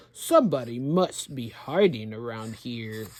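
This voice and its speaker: Someone does a put-on character voice at a low-to-middle pitch. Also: moderate pace. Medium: read story.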